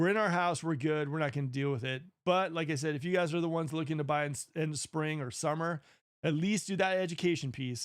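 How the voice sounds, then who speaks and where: A fairly high male voice at a very fast pace, with ordinary pitch variation, on a very clean recording with a silent background. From Northern California (Marin County). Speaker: real estate agent. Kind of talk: live stream Q&A. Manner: casual.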